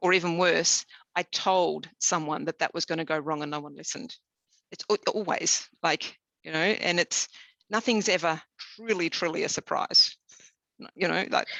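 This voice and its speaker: Bright and sharp in tone, this voice has an Australian accent, ordinary pitch variation and a moderate pace, with a dry, close sound and no echo. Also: woman, fairly low pitch for a woman. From southern Tasmania, Australia. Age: 50s. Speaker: engineer. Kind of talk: interview. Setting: webinar. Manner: halting, many fillers.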